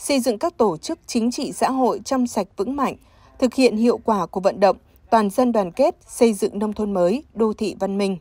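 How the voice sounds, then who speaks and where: Recorded very cleanly, dry and close with no echo against a silent background, a woman speaks fairly quickly at a fairly high pitch in a dark, mellow tone with lively intonation. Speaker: news presenter. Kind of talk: news reading. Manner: formal.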